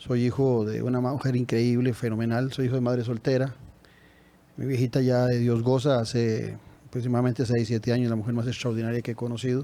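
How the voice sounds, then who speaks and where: A man talks with a dark, mellow tone. He moves at a fairly quick pace in a flat monotone. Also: medium pitch for a man. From Costa Rica, San José (Tibás). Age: 60s. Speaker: presidential candidate. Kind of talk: interview.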